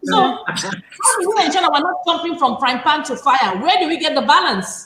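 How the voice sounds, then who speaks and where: The raised, projected voice keeps a moderate pace while its pitch swings very widely. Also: woman, high pitch for a woman. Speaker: show host and school owner. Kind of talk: panel discussion. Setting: livestream.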